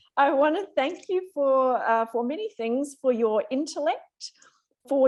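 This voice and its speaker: Lively intonation rises and falls through fairly slow speech with an Australian accent. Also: woman. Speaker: ophthalmologist.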